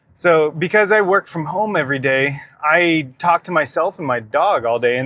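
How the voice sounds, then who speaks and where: Bright, sharp tone with ordinary pitch variation and a dry, close sound with no echo. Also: man. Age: 30s. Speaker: fitness vlogger. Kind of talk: casual vlog monologue. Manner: casual, conversational; quiet at times.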